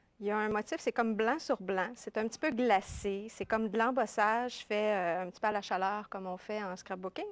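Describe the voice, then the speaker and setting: Recorded very cleanly against a silent background, a woman with a fairly high pitch talks at a moderate pace with ordinary pitch variation. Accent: Quebec. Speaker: scrapbooking columnist. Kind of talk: TV craft demonstration. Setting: TV studio. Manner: casual, chatty.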